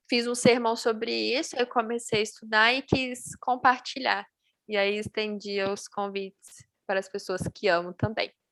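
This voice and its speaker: Using an ordinary speaking voice, a woman with a fairly high pitch speaks at a fairly slow pace with ordinary pitch variation, the sound dry and close with no echo. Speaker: Bible study teacher. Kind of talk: Bible study on video call.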